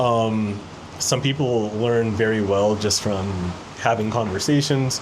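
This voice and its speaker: In a room with audible echo, a man with an American accent talks at a fairly slow pace and medium pitch, with fairly even intonation and very even loudness. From United States. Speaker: expat video creator. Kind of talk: casual interview chat.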